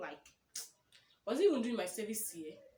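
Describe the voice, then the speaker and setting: A woman speaks in a somewhat breathy voice with a Nigerian accent. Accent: Nigerian (Yoruba) English. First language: Yoruba. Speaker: YouTuber. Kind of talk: casual vlog chat. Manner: conversational, self-correcting.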